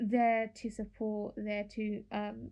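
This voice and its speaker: A woman's medium-pitched voice with a dark, mellow tone and monotone, flat intonation. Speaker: podcast co-host. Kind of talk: casual chat. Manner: loud.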